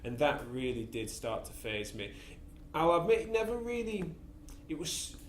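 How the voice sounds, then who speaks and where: With an English accent and audible room echo, a man speaks at a fairly high pitch, swinging very widely, with long, frequent pauses. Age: 20s. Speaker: physiotherapist and podcast host. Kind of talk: casual interview, personal story. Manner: fast; halting with many repeats.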